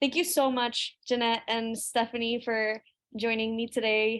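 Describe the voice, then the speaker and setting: A woman with a Spanish accent talks at a fairly high pitch with fairly even intonation. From Colombia. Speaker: webinar moderator, music artist. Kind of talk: panel webinar conversation.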